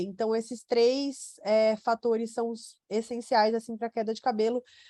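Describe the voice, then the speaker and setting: A woman has a plain, everyday voice at a fairly high pitch with fairly even intonation. The sound is dry and close, with no echo. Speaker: nutrition doctor. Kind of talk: webinar Q&A. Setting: online webinar.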